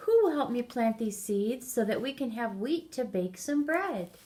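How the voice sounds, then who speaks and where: The woman's pitch sits high. She performs in a put-on character voice. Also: moderate pace. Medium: read story.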